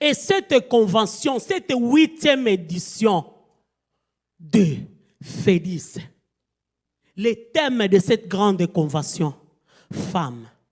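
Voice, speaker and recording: A woman's somewhat breathy voice at a very slow pace, with very wide pitch swings and long, frequent pauses. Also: medium pitch for a woman. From Angola. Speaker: guest preacher. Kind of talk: sermon. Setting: church convention.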